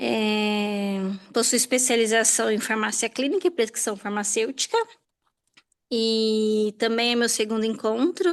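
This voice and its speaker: A woman with an ordinary speaking voice talks at a fairly slow pace and fairly high pitch, with ordinary pitch variation, very even loudness and a quiet background. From São Paulo, ABC region, Brazil. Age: 30s. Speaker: hospital pharmacist. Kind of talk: self-introduction in online class.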